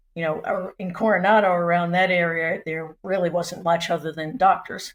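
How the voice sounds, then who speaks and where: A woman with an American accent and a normal speaking voice talks at a moderate pace, her pitch fairly low and her intonation fairly even. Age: 60s. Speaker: retiree, house sitter. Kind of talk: casual interview chat.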